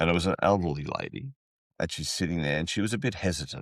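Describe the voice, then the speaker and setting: Against a quiet background, a man speaks with an Australian accent in a dry, close sound with no echo. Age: 60s. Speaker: podcast host and rideshare driver. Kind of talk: casual chat.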